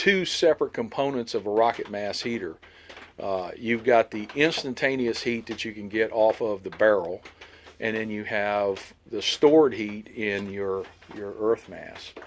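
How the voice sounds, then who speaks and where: Fairly slow speech from a man amid noticeable background noise. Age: 60s. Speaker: homesteader vlogger. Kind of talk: outdoor tutorial walkthrough. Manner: casual, hesitant with fillers.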